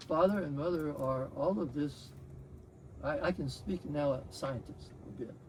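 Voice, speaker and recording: A man speaks at a fairly high pitch, somewhat breathy. His pace is fairly slow, with ordinary pitch variation. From Texas. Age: 80s+. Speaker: spiritual meditation practitioner, retired scientist. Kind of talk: testimony. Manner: halting.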